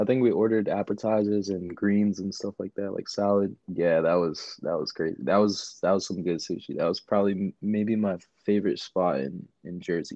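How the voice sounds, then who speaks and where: In an American accent, a man talks at a moderate pace with hardly any pauses and a plain, everyday voice. His intonation is fairly even, and his pitch is fairly low. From Queens, New York. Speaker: powerlifting coach. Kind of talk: casual chat.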